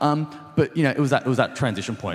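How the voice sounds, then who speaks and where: Talking at a very fast pace, a man speaks with an Australian accent. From Sydney, Australia. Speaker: restaurant co-founder. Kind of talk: panel talk. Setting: event with small audience. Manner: many fillers and repetitions.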